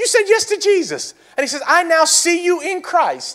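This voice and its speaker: Bright and sharp in tone, a man speaks fairly slowly in an animated way. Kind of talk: sermon.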